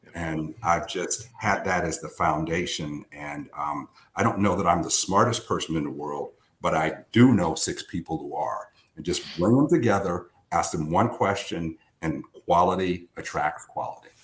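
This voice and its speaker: At a moderate pace, a man with an American accent talks in a very deep, low pitch with ordinary pitch variation. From Santa Rosa, California. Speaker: legal industry executive. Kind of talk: interview answer.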